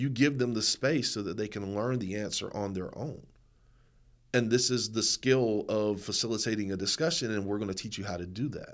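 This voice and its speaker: Here is a man with an ordinary speaking voice. He keeps a moderate pace with ordinary pitch variation. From Eastern North Carolina, US. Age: 40s. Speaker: nonprofit founder and performance poet. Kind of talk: podcast interview.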